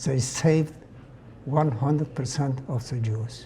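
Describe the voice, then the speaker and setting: A man's somewhat breathy voice in a medium pitch with a dark, mellow tone. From Poland, Lodz. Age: 90s. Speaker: Holocaust survivor. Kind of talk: testimony.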